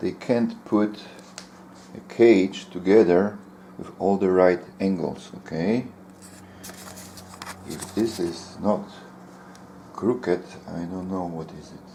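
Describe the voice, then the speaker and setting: A very deep, low male voice with a non-native accent, at a very slow pace. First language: not English. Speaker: bird keeper. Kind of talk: casual talk to camera.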